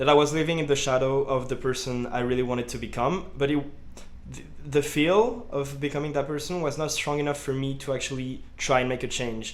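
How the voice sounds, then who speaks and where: A man with a slight French accent talks at a fairly quick pace and fairly high pitch, his intonation fairly even amid audible room echo. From France, around Lyon. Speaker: student vlogger. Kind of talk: personal vlog monologue. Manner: casual, with many fillers.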